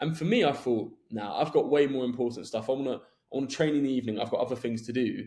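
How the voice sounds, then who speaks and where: A man with a London accent talks at a very fast pace, his pitch medium. His tone is dark and mellow, with ordinary pitch variation. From southwest London, England. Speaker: podcast host. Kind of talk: podcast interview.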